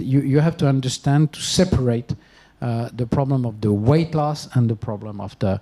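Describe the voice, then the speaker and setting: Fairly quickly, a man speaks in a fairly high pitch. His tone is dark and mellow, and somewhat breathy. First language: not English. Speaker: doctor treating diabetes and obesity. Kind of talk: panel discussion. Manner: halting, many fillers.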